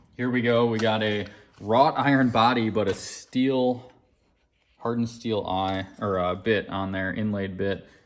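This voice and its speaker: A man with an ordinary speaking voice talks at a fairly slow pace, keeping a medium pitch and fairly even intonation. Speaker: auctioneer and vintage axe seller. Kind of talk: auction preview and product showcase narration.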